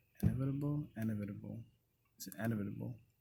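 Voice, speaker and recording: A voice with a dark, mellow tone speaks in a Haitian accent. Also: man. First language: Haitian Creole. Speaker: vlogger. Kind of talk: casual self-reflection monologue. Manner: unscripted, with frequent fillers.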